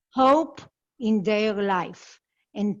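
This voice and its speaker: With a non-native accent, a woman talks at a very slow pace and a fairly high pitch, with ordinary pitch variation. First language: not English. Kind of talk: panel discussion.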